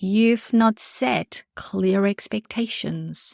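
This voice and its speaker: Very slowly, a woman with a non-native accent speaks at medium pitch, in a very clean, dry, close recording with no echo and a silent background. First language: not English. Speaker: podcast host, private practice business coach. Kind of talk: solo podcast monologue. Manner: conversational, direct address.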